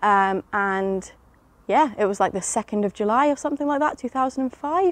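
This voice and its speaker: A woman with an English accent speaks at a fairly high pitch with ordinary pitch variation. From England. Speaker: teacher. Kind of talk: testimony. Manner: hesitant, many fillers.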